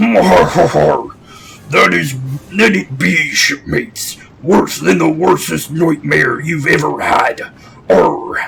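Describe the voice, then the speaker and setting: A man in a put-on character voice, speaking at a very slow pace. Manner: gruff, theatrical.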